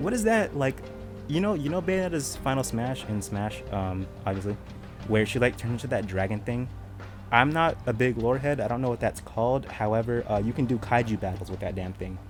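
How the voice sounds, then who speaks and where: A man at a medium pitch, talking at a fairly quick pace with lively intonation over music in the background. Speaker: gaming youtuber. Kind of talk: casual video commentary. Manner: animated.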